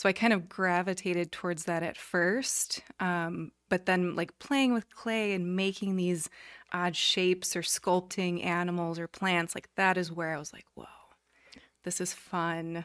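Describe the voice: Speaking in an unremarkable speaking voice, a woman with a fairly low pitch and fairly even intonation goes at a fairly slow pace, with big swings in loudness, in a very clean recording with a silent background.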